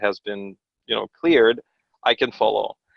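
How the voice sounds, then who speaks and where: This is a man speaking. He talks with a Russian accent. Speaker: pastor and homeschooling father. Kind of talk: podcast interview. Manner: conversational with many fillers and restarts.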